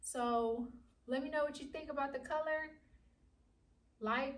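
A woman speaks at a moderate pace in a high voice with fairly even intonation. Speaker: home DIY vlogger. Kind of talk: casual vlog chat. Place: empty room. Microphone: camera far.

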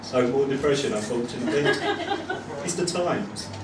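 Noticeable background noise surrounds a man as he talks. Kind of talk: stage banter then singing. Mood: wry, self-deprecating. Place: bar. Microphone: camera far.

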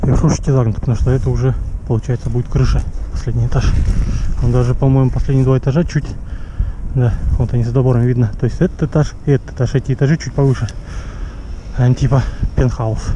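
A man talks at a very fast pace with very even loudness. The sound is dry with no echo, over light background noise. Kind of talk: casual vlog commentary. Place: open country. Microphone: phone near.

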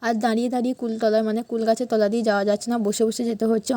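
On a very clean recording with a silent background, a woman's fairly high, dark, mellow voice comes through in a monotone, flat way with a dry, close sound and no echo. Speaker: lifestyle vlogger. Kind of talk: vlog voice-over narration.

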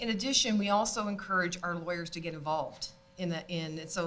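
Light background noise is present. Over it, a woman speaks at a fairly quick pace. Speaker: panellist. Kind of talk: panel discussion remarks. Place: hall. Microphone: studio mic.

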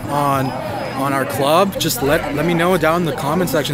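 A man at a moderate pace, dry sound with no echo, clear music in the background. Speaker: vlogger. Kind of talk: casual vlog chat. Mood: cheerful, relaxed. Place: street. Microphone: phone near.

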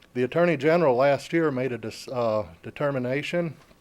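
Speaking with a slight Southern US accent, a man uses a medium pitch and ordinary pitch variation. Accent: sounds a little southern. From downstate Michigan. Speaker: military veteran, public commenter. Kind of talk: public comment at city meeting. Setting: city commission meeting hall.

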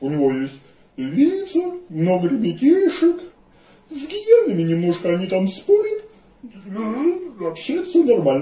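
In a cartoonish character voice pitched high, a man speaks with long, frequent pauses. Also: moderate pace. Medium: puppet.

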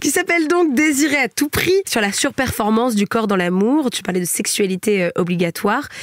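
A woman's animated tone with lively intonation, at a moderate pace. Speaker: podcast host. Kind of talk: casual chat.

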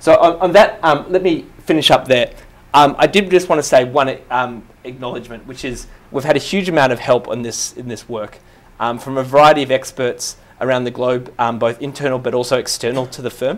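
This man talks at a fairly quick pace and medium pitch, with big swings in loudness. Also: ordinary pitch variation. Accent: Australian. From Australia. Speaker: management consultant; presenter. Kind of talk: slide presentation. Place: hall.

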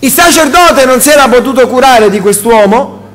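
Audible room echo surrounds a man speaking at an extremely high pitch with a fairly bright tone and lively intonation. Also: moderate pace.

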